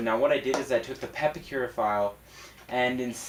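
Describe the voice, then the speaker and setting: Noticeable background noise sits behind a man speaking at medium pitch. He keeps a moderate pace with ordinary pitch variation. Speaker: cosplayer and prop maker. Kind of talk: casual talk to camera.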